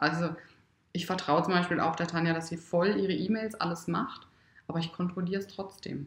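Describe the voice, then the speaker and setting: At a fairly quick pace, a woman with a fairly low pitch speaks in fairly even intonation. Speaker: wedding photographer and entrepreneur. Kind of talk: casual interview. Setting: at her home. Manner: loud at times.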